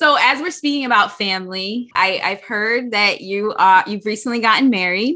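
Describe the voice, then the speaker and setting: At a moderate pace with hardly any pauses, a woman speaks with lively intonation in a bright, sharp tone and a fairly high pitch. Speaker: podcast co-host interviewer. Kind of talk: casual interview.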